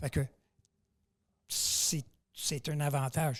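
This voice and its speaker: A man talks at a very slow pace with a fairly high pitch and a somewhat breathy sound. His intonation stays fairly even. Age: 70s. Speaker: powerlifter. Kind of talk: podcast interview.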